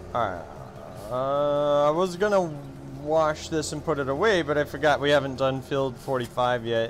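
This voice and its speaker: Music plays behind a man with a fairly high voice. He keeps a moderate pace, and his pitch varies in an ordinary way. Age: 30s. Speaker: gaming streamer. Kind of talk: casual chat. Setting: livestream.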